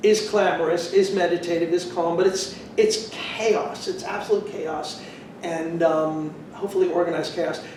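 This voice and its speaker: Over noticeable background noise and audible room echo, a man talks. His pace is fairly slow, with ordinary pitch variation. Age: 60s. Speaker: choreographer and dance professor. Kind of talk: interview conversation. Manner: thoughtful, with hesitations.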